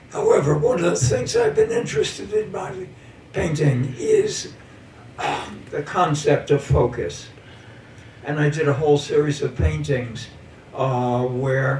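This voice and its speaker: A man talks fairly slowly while noticeable noise carries on in the background. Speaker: painter. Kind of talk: talk about own artwork. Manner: halting, many fillers.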